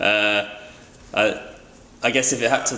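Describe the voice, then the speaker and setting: Bright and sharp in tone, a man talks with a West Country accent. His pace is fairly slow. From England, Bristol. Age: 20s. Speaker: boat builder. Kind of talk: interview answers. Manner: hesitant, many fillers.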